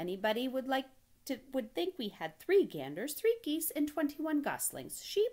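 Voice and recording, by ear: A woman does a cartoonish character voice, high-pitched with very wide pitch swings and a slightly mellow tone. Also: moderate pace.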